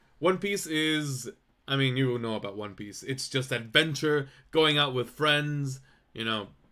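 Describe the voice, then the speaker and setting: Loud and bright with a sharp tone, a man's fairly high voice moves at a fairly slow pace with ordinary pitch variation in a very clean recording with a silent background. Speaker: vtuber streamer. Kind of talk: casual chat.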